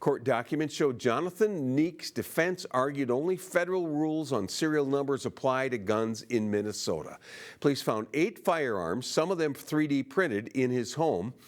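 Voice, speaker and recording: In a very clean recording with a silent background, a man with a normal speaking voice and a fairly high pitch talks at a moderate pace with lively intonation, very even loudness and hardly any pauses. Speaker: television news anchor. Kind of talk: TV news anchor read.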